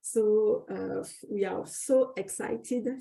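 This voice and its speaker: A woman talks with a French accent at a fairly high pitch. Her voice is somewhat breathy. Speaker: academic researcher and special issue co-editor. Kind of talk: webinar introduction. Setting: online webinar. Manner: halting, many fillers and restarts.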